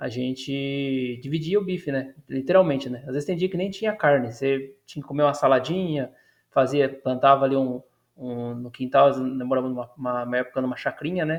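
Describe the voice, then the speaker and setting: This man talks at a fairly quick pace, his pitch fairly high. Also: ordinary pitch variation. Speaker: YouTuber reacting to a video. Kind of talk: casual react commentary. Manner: hesitant, with fillers.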